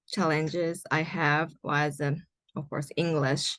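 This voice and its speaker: With a Japanese accent, a woman speaks at a fairly low pitch in a bright, sharp tone with monotone, flat intonation. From Japan, Nagoya and Kobe. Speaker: environmental writer and graduate student. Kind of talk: interview. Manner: halting, many fillers.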